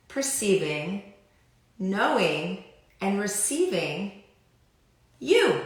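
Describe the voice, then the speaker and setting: Audible room echo around a woman's voice. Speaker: life coach / clearing facilitator. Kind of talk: live stream talk to viewers. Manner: slow.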